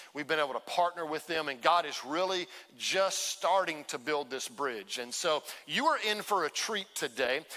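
An ordinary speaking voice from a man with an American accent, fairly high pitch, ordinary pitch variation and a moderate pace. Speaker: pastor. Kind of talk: sermon introduction. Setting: church.

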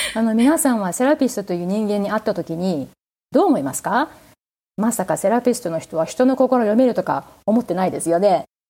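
A woman with a dark, mellow tone and fairly high pitch speaks at a fairly quick pace with lively intonation, in a very clean recording with a silent background. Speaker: therapist. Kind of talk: interview conversation.

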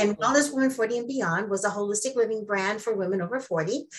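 Speaking in a normal speaking voice, a woman has a fairly high pitch and ordinary pitch variation. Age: 60s. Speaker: wellness coach. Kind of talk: interview.

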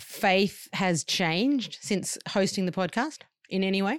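A woman speaks with an Australian accent at a medium pitch. Her pace is very slow, with ordinary pitch variation. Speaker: podcast host. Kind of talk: casual chat. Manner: animated, warm.

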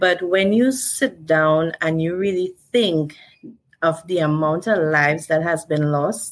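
A woman with a Trinidadian accent speaks at a very slow pace with ordinary pitch variation. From Trinidad and Tobago. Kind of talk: interview.

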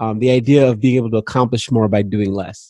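At a moderate pace, a man speaks with an African accent in a dry, close sound with no echo. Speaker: podcast host. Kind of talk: interview conversation.

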